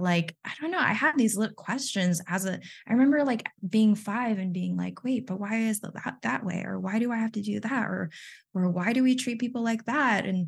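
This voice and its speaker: A woman talks at a moderate pace with lively intonation and a somewhat breathy voice. The background is quiet. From Texas (born in the Philippines). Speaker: podcast co-host. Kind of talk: casual chat.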